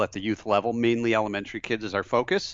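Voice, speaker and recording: A man with an American accent talks at a fairly quick pace in a normal speaking voice at a medium pitch. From Michigan, near Flint. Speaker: franchise business developer. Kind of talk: interview.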